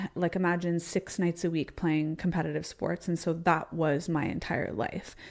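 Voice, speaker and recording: A fairly low female voice with vocal fry and a Canadian accent, moderate in pace with hardly any pauses, fairly even intonation and very even loudness. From Canada (Ontario). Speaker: entrepreneur and former athlete. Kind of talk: interview conversation. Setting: live show.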